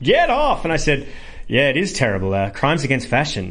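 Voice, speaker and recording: A man with an Australian accent at a fairly quick pace, ordinary pitch variation and audible room echo. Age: 30s. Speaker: comedian. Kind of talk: interview.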